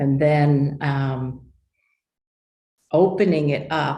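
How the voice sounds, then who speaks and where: In an American accent, a woman speaks with a very deep, low pitch, monotone, flat intonation and a dark, mellow, somewhat breathy tone, with audible room echo. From New York. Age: 70s. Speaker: human design teacher. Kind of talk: interview testimony. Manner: halting.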